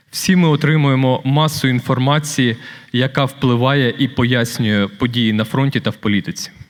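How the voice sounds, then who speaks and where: A man's medium-pitched voice at very even loudness. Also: ordinary pitch variation, moderate pace. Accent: Ukrainian. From Ukraine. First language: Ukrainian. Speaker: award recipient, former prisoner and author. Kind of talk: acceptance speech. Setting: stage with audience at a gala dinner.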